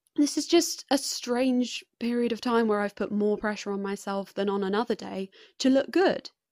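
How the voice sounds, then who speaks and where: With an English accent, a woman talks at a fairly high pitch and a moderate pace, with lively intonation and hardly any pauses. The recording is very clean, with a silent background and a dry, close sound with no echo. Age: 20s. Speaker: podcast host and student. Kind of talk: solo podcast monologue. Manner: chatty, with frequent laughter.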